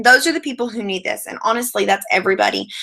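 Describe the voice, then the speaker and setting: The voice has a bright, sharp tone with vocal fry. Its pitch swings very widely. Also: woman. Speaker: network marketing team leader. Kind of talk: online training session. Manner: fast.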